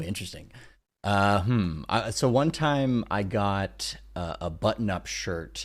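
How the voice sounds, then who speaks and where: A man with a plain, everyday voice, fairly low in pitch, fairly slow and lively in intonation, on a very clean recording with a silent background. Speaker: podcast host. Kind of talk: casual podcast talk.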